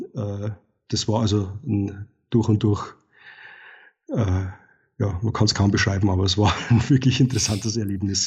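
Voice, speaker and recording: A man speaks at a fairly low pitch in a somewhat breathy voice with fairly even intonation. His moderate pace is broken by long, frequent pauses. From Bavaria, Regensburg area. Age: 40s. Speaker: wildlife and landscape photographer. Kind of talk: interview conversation. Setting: evening recording. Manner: halting with fillers.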